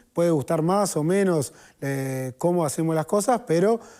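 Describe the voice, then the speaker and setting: Dark, mellow tone from a man, captured on a very clean recording with a silent background. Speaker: trade union leader. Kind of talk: TV panel debate.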